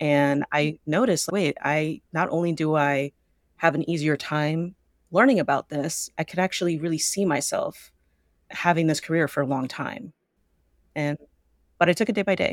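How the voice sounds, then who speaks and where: In a very clean recording with a silent background and a dry, close sound with no echo, a woman with an American accent speaks at a moderate pace and a very deep, low pitch, with ordinary pitch variation and long, frequent pauses. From San Francisco Bay Area, California. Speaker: therapist and business owner. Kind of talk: interview conversation.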